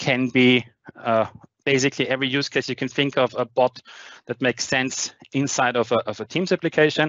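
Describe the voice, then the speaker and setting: A man with a German accent at a moderate pace, fairly even intonation, a dry sound with no echo and a quiet background. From Austria. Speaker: tech conference speaker; conference speaker. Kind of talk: technical presentation with demo. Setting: online video meeting with screen share. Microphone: headset.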